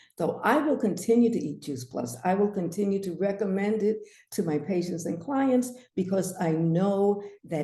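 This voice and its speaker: Amid audible room echo, a woman with a dark, mellow tone speaks at a moderate pace with lively intonation. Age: 70s. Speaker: naturopath. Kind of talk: webinar presentation.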